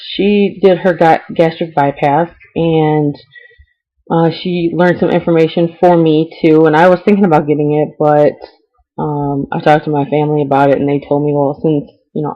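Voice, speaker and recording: In a Midwestern US accent, a woman talks at a moderate pace with a very deep, low pitch. Her intonation is fairly even. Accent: US Midwest. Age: 20s. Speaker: vlogger. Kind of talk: personal vlog. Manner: hesitant, many ums.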